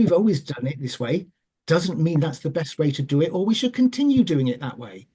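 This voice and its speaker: Moderate-paced speech with a Welsh accent. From Wales. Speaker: charity chair. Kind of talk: panel talk. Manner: hesitant.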